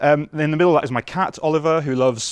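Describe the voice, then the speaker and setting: A man with a northern English accent talks at a moderate pace with fairly even intonation. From northern England. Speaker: software engineer. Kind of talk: conference talk. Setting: stage with audience.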